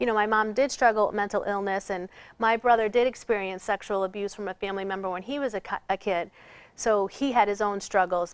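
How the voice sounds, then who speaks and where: Fairly quick speech with fairly even intonation in a very clean recording with a silent background. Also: woman. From Boston area, Massachusetts. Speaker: author and trafficking survivor. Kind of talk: interview testimony. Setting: TV studio.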